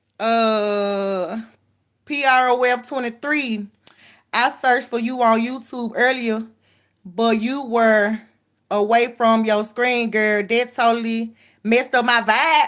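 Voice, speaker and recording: With a Southern US accent, a woman speaks at a very slow pace in a fairly high voice with fairly even intonation. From Memphis, Tennessee (US South). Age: 30s. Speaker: livestreamer. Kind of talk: casual live-stream chat reading comments. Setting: live stream, late night. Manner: casual, conversational.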